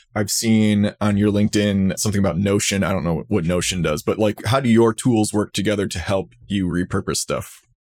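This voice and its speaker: In a plain, everyday voice, a man with fairly low pitch speaks with fairly even intonation and hardly any pauses, recorded very cleanly against a silent background with a dry, close sound and no echo. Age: 30s. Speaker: higher ed marketing podcaster. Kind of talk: casual interview chat.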